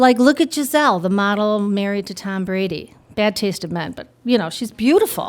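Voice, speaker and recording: Noticeable background noise plays under a woman's voice. She talks at a moderate pace with lively intonation. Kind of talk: live storytelling performance. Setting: live audience. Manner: casual, humorous.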